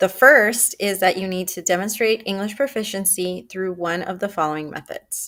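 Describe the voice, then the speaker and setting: In a Spanish accent, a woman with a bright, sharp tone and medium pitch talks at a moderate pace with hardly any pauses, on a very clean recording with a silent background. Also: ordinary pitch variation, big swings in loudness. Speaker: school counselor. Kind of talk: informational presentation.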